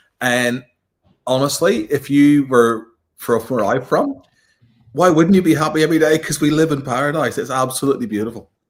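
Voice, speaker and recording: Fairly quick speech from a man with a Northern Irish accent and a fairly high pitch. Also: ordinary pitch variation. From Northern Ireland, Belfast. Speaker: 4x4 modifying content creator. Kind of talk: casual chat.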